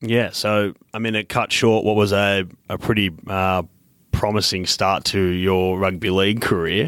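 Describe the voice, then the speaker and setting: Speaking at a fairly slow pace with an Australian accent, a man talks in a very deep, low pitch with fairly even intonation. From Queensland, Australia. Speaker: podcast host. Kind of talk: interview.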